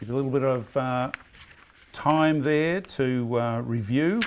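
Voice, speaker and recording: A man with a strong Australian accent, medium pitch, ordinary pitch variation and a fairly slow pace. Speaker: quiz host. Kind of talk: pub quiz hosting. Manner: halting.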